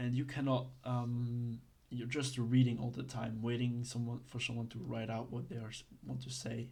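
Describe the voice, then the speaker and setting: In a room with audible echo, a man speaks in a dark, mellow, somewhat breathy voice with monotone, flat intonation. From Belgium. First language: not English (Belgian). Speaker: online roleplay legal course teacher. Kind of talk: tutorial. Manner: halting, many fillers; casual.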